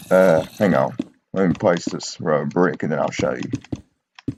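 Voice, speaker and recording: The man speaks at a very slow pace. His voice carries vocal fry. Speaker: gaming tutorial youtuber. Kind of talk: tutorial. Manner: halting.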